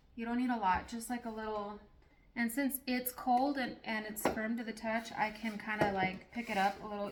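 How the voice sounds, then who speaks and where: Noticeable background noise sits behind a woman's voice. She speaks at a fairly high pitch with monotone, flat intonation. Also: moderate pace. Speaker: cake decorator. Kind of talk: tutorial. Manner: casual.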